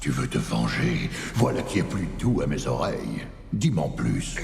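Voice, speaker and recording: A man's cartoonish character voice at a moderate pace, with clear echo and loud background noise. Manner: arrogant, contemptuous.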